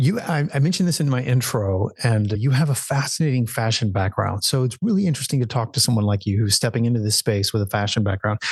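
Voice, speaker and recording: Talking very fast with hardly any pauses, a man with an American accent has a medium-pitched, somewhat breathy voice, ordinary pitch variation and very even loudness. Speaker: podcast host. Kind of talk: interview.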